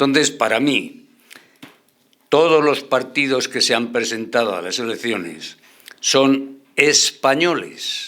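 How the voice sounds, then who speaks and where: The voice has a bright, sharp tone with vocal fry. It moves at a very slow pace with ordinary pitch variation. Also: man, medium pitch for a man. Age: 80s+. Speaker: panelist. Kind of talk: radio panel debate.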